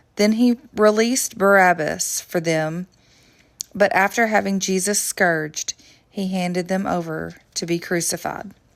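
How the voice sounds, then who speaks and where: A woman with an American accent, medium pitch, fairly even intonation and fairly slow pace. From Southern United States. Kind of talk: Bible reading.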